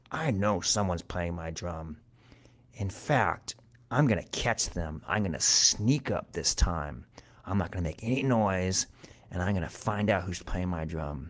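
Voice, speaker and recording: In a cartoonish character voice, a man speaks at a moderate pace with a very deep, low pitch. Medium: puppet show. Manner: indignant, repetitive.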